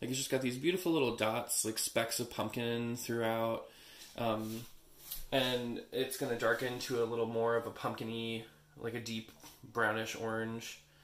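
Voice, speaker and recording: A man speaks at a moderate pace in a medium pitch. His intonation is monotone and flat. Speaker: soap maker. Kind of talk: tutorial. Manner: casual, many filler words.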